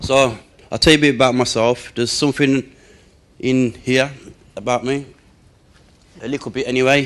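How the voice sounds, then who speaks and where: A man speaks at medium pitch and a moderate pace, his intonation monotone and flat. Long, frequent pauses break up his speech, and there is noticeable background noise. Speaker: spoken word poet and speaker. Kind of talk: casual talk to an audience. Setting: live event in a stadium. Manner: hesitant, conversational.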